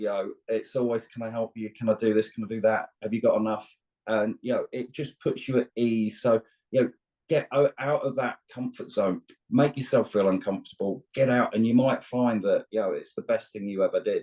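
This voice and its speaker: A man with a British accent speaks at a fairly quick pace in a dry, close sound with no echo. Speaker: long-distance truck driver and outdoor instructor. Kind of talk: casual interview chat. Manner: halting, with frequent repetitions.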